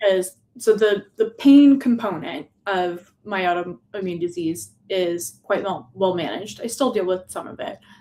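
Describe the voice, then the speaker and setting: A woman with a plain, everyday voice speaks at a fairly slow pace, with hardly any pauses. Her medium pitch carries lively intonation, and her loudness swings widely. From small-town Canada. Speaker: artist. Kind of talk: casual chat. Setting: live stream.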